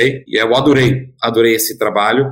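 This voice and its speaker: A man speaks at a medium pitch, sounding somewhat breathy. His pace is fairly slow. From Germany. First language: German (speaking Portuguese). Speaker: tech company founder and CEO. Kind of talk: interview.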